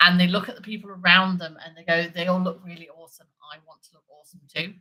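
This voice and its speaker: A very fast, fairly low-pitched woman with a British accent, a bright, sharp tone and big swings in loudness. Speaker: livestream host talking about larp. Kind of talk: casual livestream chat. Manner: animated.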